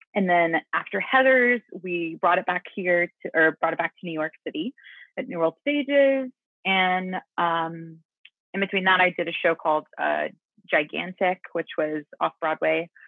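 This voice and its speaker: A woman with an American accent speaks at a moderate pace, her intonation lively and her pitch fairly low. It is an ordinary speaking voice. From US South, Mississippi. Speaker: musical theater actress. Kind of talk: casual interview.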